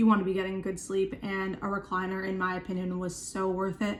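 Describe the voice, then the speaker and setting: A woman's medium-pitched voice at a fairly quick pace. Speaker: chronic illness vlogger. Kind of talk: casual vlog talk to camera. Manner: fast; filler-heavy, lots of um and like.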